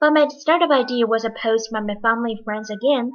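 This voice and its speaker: A woman speaks at a high pitch and a fairly quick pace. Her pitch varies in an ordinary way. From outside the US. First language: non-English. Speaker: PhD student. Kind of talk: personal narration.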